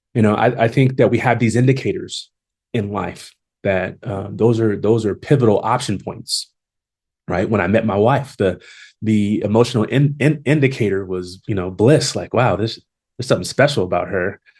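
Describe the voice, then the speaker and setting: A man with an American accent talks at a moderate pace in a medium pitch. His voice is somewhat breathy, with ordinary pitch variation. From Long Beach, California. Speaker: HR executive and consultant. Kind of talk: podcast interview. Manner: halting with many repetitions; confident.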